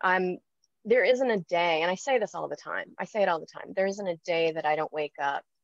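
A woman with an American accent speaks at a moderate pace and medium pitch, with ordinary pitch variation. The sound is dry with no echo against a quiet background. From California, US. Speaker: expat interviewee; interviewee. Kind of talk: casual interview. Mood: warm, happy. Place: home room. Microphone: video call.

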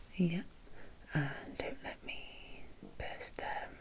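A soft-spoken woman with a gentle, dark, mellow tone is somewhat breathy. Light background noise sits behind her. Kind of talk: soft-spoken role-play instructions to viewer. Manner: soft-spoken, gentle ASMR voice.

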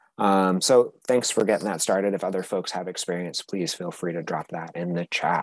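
A man with an unremarkable speaking voice talks at a moderate pace and a fairly low pitch, with ordinary pitch variation. The sound is dry with no echo, and the background is quiet. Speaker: conference presenter, nonprofit executive director; conference presenter. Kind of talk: conference presentation. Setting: video call. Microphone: video call.

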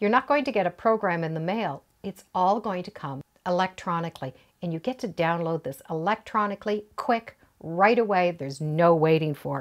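A woman talks at a moderate pace in a plain, everyday voice, fairly low in pitch with lively intonation. Her loudness swings widely against a quiet background. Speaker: quilting instructor. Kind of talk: tutorial. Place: home room.

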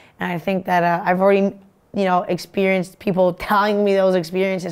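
A woman at a medium pitch, very fast and monotone, with flat intonation. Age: 20s. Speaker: hockey player and student athlete. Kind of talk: interview. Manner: halting. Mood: warm, upbeat. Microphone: lapel.

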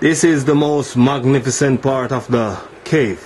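A man's voice at a very slow pace, with ordinary pitch variation and light background noise. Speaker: bar tour guide. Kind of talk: casual vlog chat. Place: tunnel cave. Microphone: phone near.

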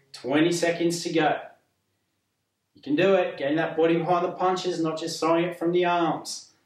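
A man's voice, high in pitch, with monotone, flat intonation, a moderate pace, long and frequent pauses, audible room echo and a quiet background. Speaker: physiotherapist fitness instructor. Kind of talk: exercise class instruction. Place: home room.

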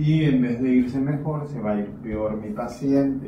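Very slowly, a man speaks at a medium pitch. His intonation is fairly even, over noticeable background noise. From Mexico, Chiapas. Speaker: chiropractor and instructor. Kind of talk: tutorial narration during a therapy session. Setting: treatment room, on camera.

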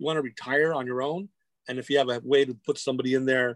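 A man with an American accent talks at a very fast pace and in a fairly even intonation, recorded dry with no echo against a quiet background. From Whittier, near Los Angeles, California; California. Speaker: comic book creator and arts educator; comic book creator, guest. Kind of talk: casual chat. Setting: video call. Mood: warm, reflective. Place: home room. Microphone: video call.

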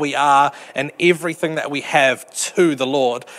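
A man at a moderate pace, with fairly even intonation. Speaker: preacher. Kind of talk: sermon. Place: hall. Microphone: handheld.

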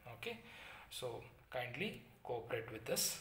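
In a space with audible room echo, a man talks at a fairly slow pace. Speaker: teacher. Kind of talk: lecture. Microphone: phone near.

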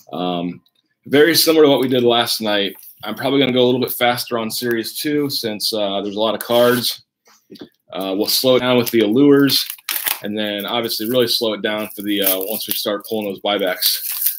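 A man speaks at a fairly quick pace with ordinary pitch variation. Light background noise can be heard. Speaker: card break host. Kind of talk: live stream commentary. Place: home room.

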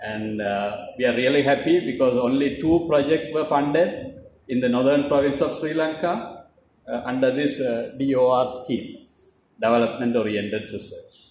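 The speech moves at a moderate pace with ordinary pitch variation, over light background noise and audible room echo. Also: man. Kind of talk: ceremony speech. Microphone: podium.

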